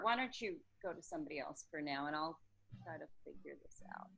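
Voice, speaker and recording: A woman with an American accent speaks at a fairly quick pace in a bright, sharp tone, her pitch swinging very widely and her loudness rising and falling sharply. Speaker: sales consultant. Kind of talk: group video meeting. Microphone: too quiet, hard to hear.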